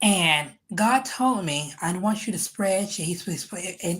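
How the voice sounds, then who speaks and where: This somewhat breathy speaker has an American accent, a moderate pace and ordinary pitch variation. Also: woman. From United States. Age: 50s. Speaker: podcast host. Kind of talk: testimony. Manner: halting.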